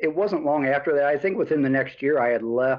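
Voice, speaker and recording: A man with an American accent, fairly high in pitch, with ordinary pitch variation. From US Midwest, Chicago area. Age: 60s. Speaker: hot rod builder and painter. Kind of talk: casual chat.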